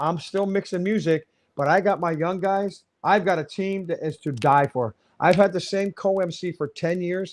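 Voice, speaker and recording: A man speaks at a high pitch in a very clean recording with a silent background. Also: ordinary pitch variation, moderate pace. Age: 60s. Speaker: wedding DJ and MC. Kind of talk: interview. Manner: animated.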